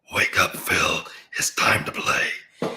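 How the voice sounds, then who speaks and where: A put-on character voice, raspy and extremely high in pitch, carries the whole clip. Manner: commanding, eerie.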